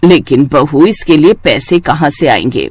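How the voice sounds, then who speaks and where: In a raspy, cartoonish character voice, a man speaks at a fairly slow pace and a fairly high pitch with ordinary pitch variation. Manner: motherly, warm.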